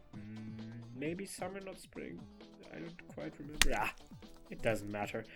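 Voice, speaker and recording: A man speaks in a playful tone at a moderate pace, his pitch swinging very widely. Music plays in the background. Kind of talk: storytime narration. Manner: casual, playful.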